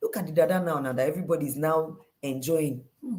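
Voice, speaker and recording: A woman's animated voice with vocal fry and a Nigerian accent. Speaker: life coach. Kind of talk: motivational talk.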